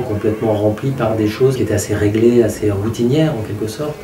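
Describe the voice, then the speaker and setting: Intonation stays fairly even amid noticeable background noise and audible room echo. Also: man. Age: 50s. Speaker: holiday participant giving testimonial. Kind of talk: testimony. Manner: halting.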